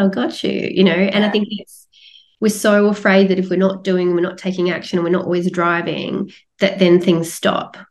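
Here a woman speaks with an Australian accent. Her pitch is medium and her pace moderate. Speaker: coach and retreat leader. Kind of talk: podcast interview.

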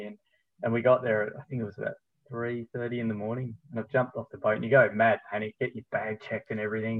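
Very fast pace from a man with a medium pitch. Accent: Australian. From Tasmania, Australia. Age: 40s. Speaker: running store manager and running coach. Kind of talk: casual interview. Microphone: unstable connection, drops out.

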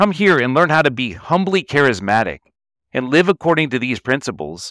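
A man speaks at a fairly quick pace in an American accent, his pitch swinging very widely with vocal fry. The recording is very clean, with a silent background. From Texas, Denton north of Dallas. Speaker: entrepreneur and CEO. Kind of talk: interview.

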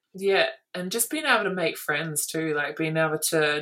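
This woman has an Australian accent. Her pitch sits very deep and low. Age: 20s. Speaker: basketball player. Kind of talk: casual chat.

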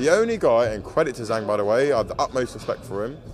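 A man rushes through his words at a very fast pace against noticeable background noise. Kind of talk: angry rant. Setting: press event, interview. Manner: aggrieved, indignant.

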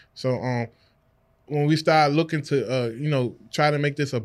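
A man with an unremarkable speaking voice and an American accent talks at a fairly quick pace with fairly even intonation. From Washington, D.C. area. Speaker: real estate investor. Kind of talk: casual interview. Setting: studio.

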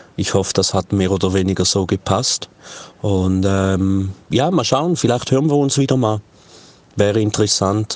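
A man's fairly low voice at a moderate pace, with ordinary pitch variation and very even loudness. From Switzerland. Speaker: podcaster and reggae DJ. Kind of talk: casual chat. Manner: hesitant with many fillers.

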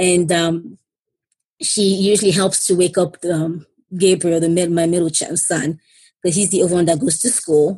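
Somewhat breathy, a woman speaks at a moderate pace in a fairly low pitch with fairly even intonation. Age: 30s. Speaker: stroke survivor and single mother. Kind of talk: casual interview.

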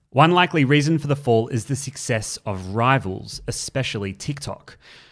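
A man speaks with an Australian accent and lively intonation at a moderate pace. The recording is very clean and the background silent. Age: 20s. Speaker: news podcast host. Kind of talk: news podcast.

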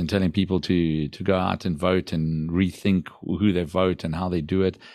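Against music in the background, a man with a very deep, low pitch speaks in a monotone, flat intonation. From South Africa. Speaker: entrepreneur and education CEO. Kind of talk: casual interview.

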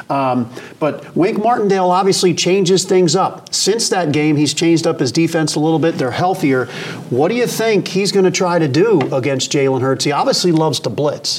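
Over noticeable background noise, a man with an American accent speaks in a high pitch at a very even loudness. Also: lively intonation, moderate pace. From Philadelphia area. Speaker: sports podcast host. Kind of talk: casual interview.

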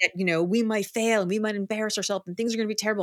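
A woman with an American accent is heard in a very clean recording with a silent background. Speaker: author and keynote speaker. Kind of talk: casual interview.

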